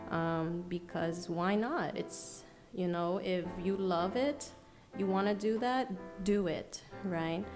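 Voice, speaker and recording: Against music in the background, a woman with an American accent talks at a very slow pace, medium in pitch with ordinary variation and very even loudness. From New York City, USA. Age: young. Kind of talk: podcast guest answering in conversation. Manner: soft-spoken, passionate.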